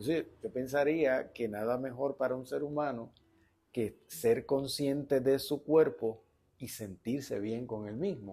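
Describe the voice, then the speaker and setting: A man speaks in a dark, mellow tone at a fairly slow pace. His pitch variation is ordinary. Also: medium pitch for a man. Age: 60s. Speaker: interview host. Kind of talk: interview conversation. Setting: bookstore cafe studio, on camera.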